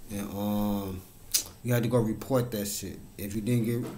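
A man speaks in a fairly low voice with monotone, flat intonation over noticeable background noise. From Chicago South Side; Chicago. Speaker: YouTuber. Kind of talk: casual monologue. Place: home room. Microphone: webcam.

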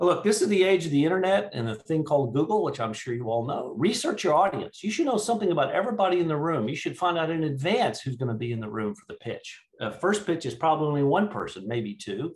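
Speaking at a very fast pace with hardly any pauses, a man with a fairly high pitch makes very wide pitch swings. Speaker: venture capitalist and pitch judge. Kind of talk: panel feedback and advice. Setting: video call. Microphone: video call.

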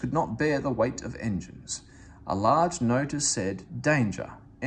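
The speaker reads aloud plainly. The intonation moves in a lively way.

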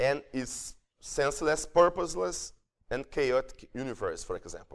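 Against a quiet background, a man with a Portuguese accent speaks at a moderate pace. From Brazil. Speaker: psychiatry professor; professor lecturer. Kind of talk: lecture. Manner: halting. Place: hall. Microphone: handheld.

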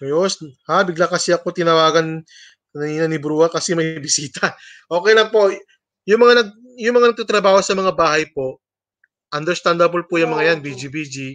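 Against a quiet background, a man with a high voice speaks at a fairly quick pace in an animated tone, with ordinary pitch variation and big swings in loudness. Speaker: livestream host. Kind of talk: livestream hosting, casual chat with viewers. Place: home room. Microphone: webcam.

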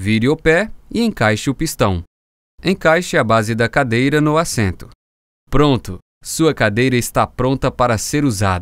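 At a fairly slow pace, a man speaks at a medium pitch with very wide pitch swings, in a very clean recording with a silent background and a dry, close sound with no echo. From Brazil. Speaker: voice actor. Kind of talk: explainer video narration.

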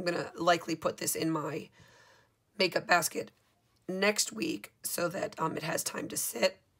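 With music in the background, a woman speaks fairly slowly at a fairly low pitch with ordinary pitch variation. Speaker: DIY makeup maker. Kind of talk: makeup tutorial talk to camera. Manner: casual, conversational. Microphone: camera far.

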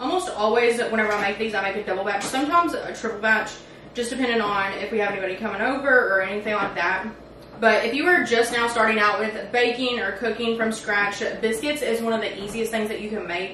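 A woman talking at a very fast pace with ordinary pitch variation, audible room echo and light background noise. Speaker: home cook vlogger. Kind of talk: casual vlog chat. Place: kitchen.

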